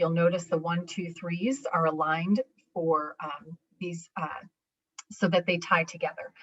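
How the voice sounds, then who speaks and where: A woman with an American accent, fairly low and somewhat breathy, at a moderate pace with ordinary pitch variation, the sound dry and close with no echo. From New York. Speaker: education presenter. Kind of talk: conference presentation.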